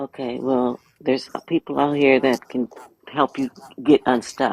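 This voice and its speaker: This man talks at a fairly slow pace in a monotone, flat intonation. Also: medium pitch for a man, dry, close sound with no echo. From Louisiana. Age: 70s. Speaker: caller in live stream discussion. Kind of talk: casual group chat. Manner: halting, repeats words.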